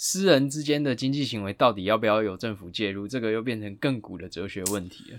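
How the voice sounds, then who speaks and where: Big swings in loudness mark this man's speech at a very fast pace. The recording is very clean, with a silent background. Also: fairly low pitch for a man, ordinary pitch variation, hardly any pauses. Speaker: lawyer podcast host. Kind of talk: casual legal discussion.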